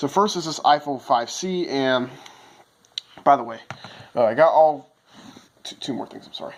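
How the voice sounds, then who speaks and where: A man with a fairly high voice speaks with ordinary pitch variation, big swings in loudness, and long, frequent pauses. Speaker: phone collector. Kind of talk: casual talk to camera. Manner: fast.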